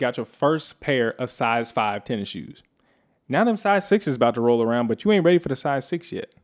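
A man with an American accent and a fairly high pitch makes very wide pitch swings at a moderate pace in a very clean recording with a silent background. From California. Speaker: podcast co-host. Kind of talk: casual chat. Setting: home studio.

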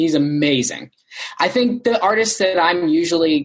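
Here a man uses a normal speaking voice with a fairly high pitch. His pace is moderate and his pitch variation ordinary. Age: 20s. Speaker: rock band singer. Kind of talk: interview.

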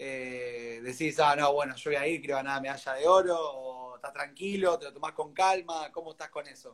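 A man with an unremarkable speaking voice talks at a moderate pace with hardly any pauses. His pitch is fairly high with ordinary variation, and his loudness swings widely. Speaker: interview host. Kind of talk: interview.

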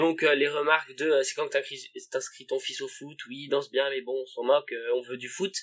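His loudness swinging widely, a man talks at a fairly slow pace. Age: 20s. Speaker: podcast guest, friend of host. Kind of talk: casual chat.

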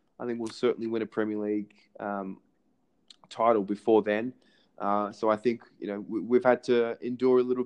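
With an Australian accent, a man talks in fairly even intonation. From Australia, Melbourne. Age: 20s. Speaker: podcast host and amateur sports coach. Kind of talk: casual interview chat. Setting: phone call.

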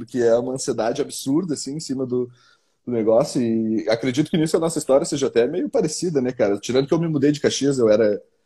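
A man's fairly high, somewhat breathy voice with a dark, mellow tone, very fast, with ordinary pitch variation, against a quiet background. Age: 20s. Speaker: football fan commentator. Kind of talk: casual chat.

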